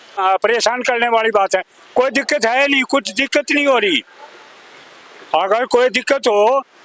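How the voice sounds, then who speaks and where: A man's extremely high voice at a moderate pace, with long, frequent pauses, very even loudness, a dry, close sound with no echo and noticeable background noise. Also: ordinary pitch variation. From Delhi. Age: 70s. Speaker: local resident. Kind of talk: street interview. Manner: halting.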